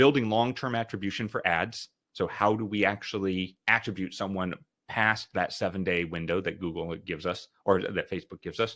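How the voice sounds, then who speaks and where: At a fairly quick pace, the speaker talks in a bright, sharp tone. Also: man, fairly low pitch for a man, ordinary pitch variation. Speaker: company founder presenting a marketing webinar. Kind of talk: webinar presentation. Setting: online webinar. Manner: very fast.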